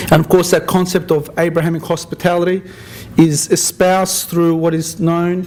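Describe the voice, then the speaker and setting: Fairly slow speech from a man with an Australian accent, with noticeable background noise. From Australia (Sydney). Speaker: interfaith community organizer. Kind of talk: after-dinner speech. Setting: dinner event with audience, at microphone. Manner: halting, with frequent repetitions.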